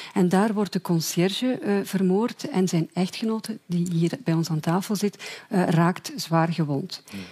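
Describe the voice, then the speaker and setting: A woman with a Flemish accent speaks at a fairly slow pace and a medium pitch. Her tone is dark and mellow, and her voice is somewhat breathy. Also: ordinary pitch variation. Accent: Flemish Dutch. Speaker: journalist. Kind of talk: explanatory summary.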